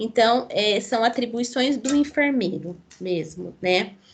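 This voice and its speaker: A woman's voice with audible room echo. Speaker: nursing lecturer. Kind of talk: online lecture. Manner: halting, many fillers.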